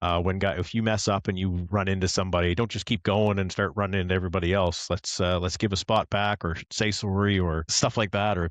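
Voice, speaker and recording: A man with a slight Canadian accent speaks very fast in a very deep, low voice, with hardly any pauses and very even loudness. The sound is dry and close with no echo, over a quiet background. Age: older. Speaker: motorsport podcast co-host, sim racing league member. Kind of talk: casual chat. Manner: animated, conversational.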